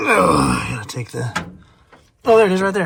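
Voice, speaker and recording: An American man speaks at a fairly quick pace with an animated tone. His pitch makes very wide swings. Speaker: diesel truck mechanic vlogger. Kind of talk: casual vlog talk. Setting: outdoors at a commercial lot.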